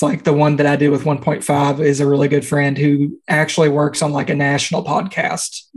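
A man with a Kentucky accent speaks at a moderate pace. His fairly high voice stays monotone and flat. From central Kentucky. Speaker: podcast host. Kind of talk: casual chat.

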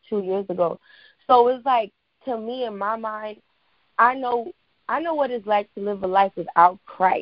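A woman with an American accent speaks at a moderate pace in an ordinary speaking voice, her pitch fairly high and its variation ordinary. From New York, the Bronx. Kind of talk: casual chat.

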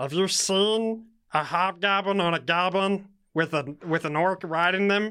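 A put-on character voice sits at a middle pitch and moves at a fairly slow pace. The recording is very clean, with a silent background. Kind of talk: comic overacting. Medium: actual play. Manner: sassy, indignant, comic.

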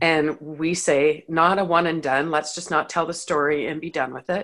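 A woman with a Canadian accent speaks at a moderate pace, her pitch very deep and low and her tone bright and sharp, with fairly even intonation. The recording is very clean, with a silent background. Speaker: podcaster. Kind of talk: casual interview. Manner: humorous.

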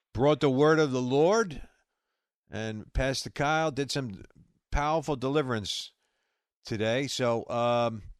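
With a slight New York accent, the speaker talks at a fairly slow pace with lively intonation and long, frequent pauses. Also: man. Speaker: radio host. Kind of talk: live call-in show with prayer. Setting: online radio stream.

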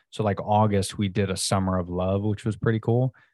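Talking very fast in an American accent, a man uses a fairly low, dark, mellow voice with a monotone, flat intonation. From Florida. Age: 30s. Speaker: entrepreneur, subscription box co-founder. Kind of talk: casual interview.

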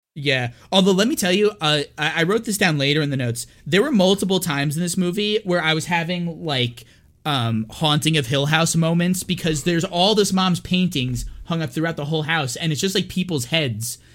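Over music in the background, a man talks at a fairly quick pace with a high pitch and ordinary pitch variation. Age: 30s. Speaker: horror movie podcast co-host. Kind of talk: casual chat. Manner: frequent laughter.

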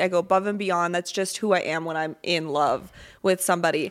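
In a very clean recording with a silent background, a woman with an unremarkable speaking voice talks at a moderate pace with ordinary pitch variation. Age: 20s. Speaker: podcast co-host. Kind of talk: casual chat.

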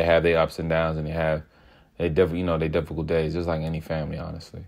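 Talking very fast with an American accent, a man has a very deep, low pitch over a quiet background. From Southeast Washington DC. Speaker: podcast host. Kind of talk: solo casual monologue.

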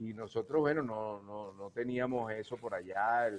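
This man has a plain, everyday voice at a medium pitch. He talks at a moderate pace with ordinary pitch variation. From Venezuela, Guayana region. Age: 60s. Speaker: cuatro musician. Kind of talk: casual interview chat.

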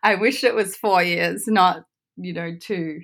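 A fairly slow pace with ordinary pitch variation. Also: woman, very clean recording, silent background. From Australia. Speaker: former professional golfer turned entrepreneur. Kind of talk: interview.

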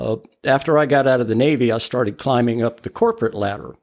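A man talks in an unremarkable speaking voice. His pitch is medium, with ordinary variation. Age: 60s. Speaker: ophthalmic technician. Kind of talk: casual chat.

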